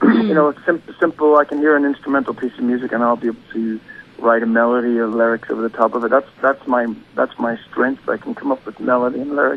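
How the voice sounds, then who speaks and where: Over noticeable background noise, a man with an Irish accent talks at a very fast pace with hardly any pauses. His pitch is medium and his intonation fairly even. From Northern Ireland, County Derry. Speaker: singer-songwriter. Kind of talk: radio interview. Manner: hesitant, many fillers.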